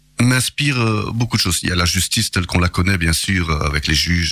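Noticeable background noise sits behind a man's voice. His pitch is fairly low, with ordinary variation. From Belgium, Charleroi. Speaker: local politician. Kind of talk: radio interview. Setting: radio studio.

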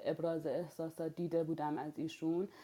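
At a fairly quick pace, a woman speaks in a dark, mellow tone with a fairly low pitch and monotone, flat intonation. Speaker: civil activist and former political prisoner. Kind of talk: online panel discussion. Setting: online audio room.

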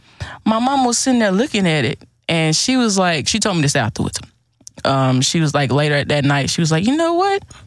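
Very fast speech with an American accent over music in the background. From Houston, Texas. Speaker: clothing entrepreneur. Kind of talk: casual chat.

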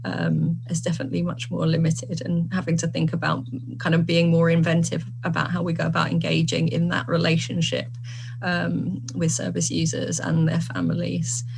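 Noticeable background noise sits behind a woman who speaks at a moderate pace with very even loudness. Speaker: social work lecturer. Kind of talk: panel discussion. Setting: video call.

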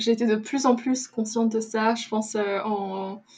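A somewhat breathy woman's voice, fairly high in pitch, with monotone, flat intonation. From Luxembourg. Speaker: podcast guest. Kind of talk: interview.

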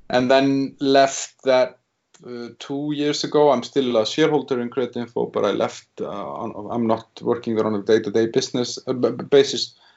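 This man speaks with an Icelandic accent at a moderate pace. His pitch is medium and his intonation fairly even. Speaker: business executive. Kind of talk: interview. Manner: halting.

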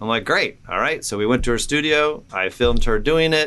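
Speaking at a fairly quick pace, a man with an American accent has a bright, sharp tone. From Indiana, US Midwest. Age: 50s. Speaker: personal trainer and business owner. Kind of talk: casual interview. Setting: studio. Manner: halting.

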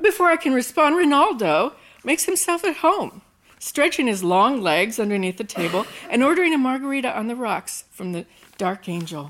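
A woman's high-pitched voice with very wide pitch swings and a fairly quick pace, over noticeable background noise. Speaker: storyteller performing personal story. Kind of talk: live storytelling performance. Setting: stage with audience.

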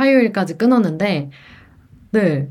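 The woman's intonation is lively. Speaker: student radio DJ. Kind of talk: casual radio chat. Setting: remote broadcast. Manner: talkative.

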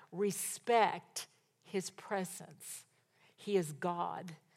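Her voice sits fairly low. The speaker is a woman. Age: 70s. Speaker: pastor. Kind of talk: sermon.

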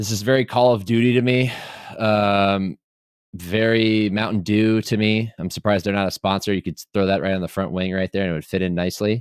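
An ordinary speaking voice, a man talks at a fairly quick pace with a fairly low pitch. His intonation is fairly even, and the sound is dry and close with no echo. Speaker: podcast host. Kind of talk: casual chat. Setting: video call.

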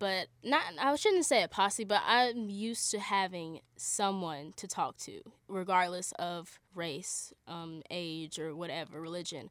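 Speaking with hardly any pauses, a woman with a plain, everyday voice uses lively intonation and big swings in loudness at a medium pitch, on a very clean recording with a silent background. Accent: American. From Charlotte, North Carolina. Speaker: college student. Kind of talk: interview.

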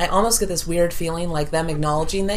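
A woman speaks over noticeable background noise. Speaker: podcast co-host. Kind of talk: casual banter.

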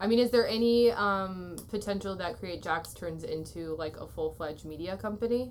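A woman with an American accent and an ordinary speaking voice, medium pitch, ordinary pitch variation, moderate pace, big swings in loudness and hardly any pauses. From US Midwest (Waterloo, Iowa). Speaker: podcast host and photographer. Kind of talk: interview.

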